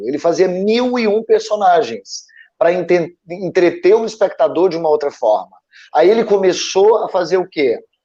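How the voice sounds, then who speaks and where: This man speaks at a high pitch. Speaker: former actor, creative panelist. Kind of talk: live panel discussion. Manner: halting, many repetitions.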